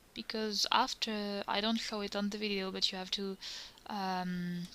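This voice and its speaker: The voice has a bright, sharp tone and a French accent. It moves at a fairly slow pace with ordinary pitch variation. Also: woman. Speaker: cosplayer. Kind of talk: tutorial. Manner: halting.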